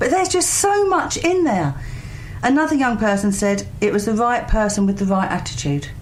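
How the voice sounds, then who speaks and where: A woman at a moderate pace, fairly high in pitch with very wide pitch swings, against noticeable background noise. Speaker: charity recruiter and volunteer coordinator. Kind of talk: radio interview answer. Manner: chatty, upbeat, conversational.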